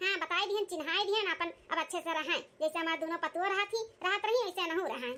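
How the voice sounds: A woman puts on a squeaky, cartoonish character voice. She talks at a very fast pace.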